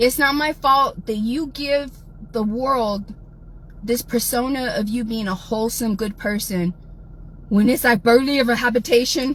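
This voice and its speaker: A woman's high voice in an American accent, animated in tone, with ordinary pitch variation and a moderate pace. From South Texas. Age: 40s. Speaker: livestreamer. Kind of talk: livestream rant.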